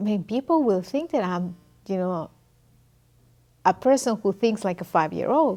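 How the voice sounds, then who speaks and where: Lively in intonation yet dark and mellow in tone, a woman with a non-native accent speaks at a medium pitch and moderate pace with long, frequent pauses in a very clean recording with a silent background. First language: not English. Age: adult. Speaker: immigrant interviewee. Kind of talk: interview testimony.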